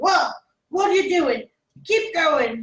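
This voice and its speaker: In a strained, put-on character voice, a woman speaks at an extremely high pitch with very wide pitch swings. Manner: shouted, urgent.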